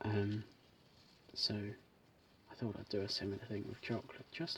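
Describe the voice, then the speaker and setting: A soft-spoken, somewhat breathy man with fairly even intonation. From British. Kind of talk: ASMR unboxing chat.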